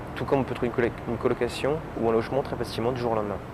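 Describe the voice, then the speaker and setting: A man at medium pitch, speaking at a very fast pace over noticeable background noise. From France. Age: 30s. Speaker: French expat worker. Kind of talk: interview testimony. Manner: hesitant, with fillers.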